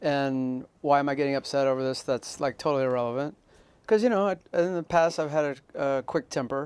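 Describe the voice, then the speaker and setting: At a fairly quick pace, a man talks in an ordinary speaking voice, fairly high in pitch, with ordinary pitch variation. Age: 60s. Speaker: podcast host. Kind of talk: casual chat.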